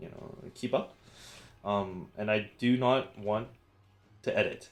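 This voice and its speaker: This man has a medium-pitched voice with ordinary pitch variation. His loudness swings a lot. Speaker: gaming video creator. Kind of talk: casual gameplay commentary. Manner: fast; halting, start-stop.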